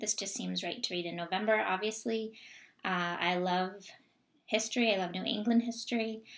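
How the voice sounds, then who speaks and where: A woman with an American accent speaks at a moderate pace and medium pitch, her intonation fairly even against a quiet background. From US, Vermont. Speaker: book vlogger. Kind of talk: casual vlog monologue. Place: home room. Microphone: webcam.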